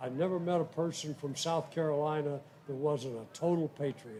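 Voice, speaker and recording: At a moderate pace, a man speaks in a dark, mellow tone with a fairly high pitch and fairly even intonation. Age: 80s+. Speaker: war veteran. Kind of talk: casual chat.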